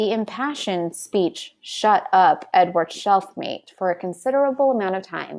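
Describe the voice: Lively intonation marks the delivery. It is plain reading aloud.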